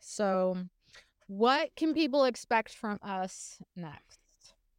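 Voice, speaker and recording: This is a very clean recording with a silent background. The speech carries lively intonation. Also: woman. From South Louisiana, Morgan City bayou country. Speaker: podcast co-host, social media activist. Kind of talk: casual chat.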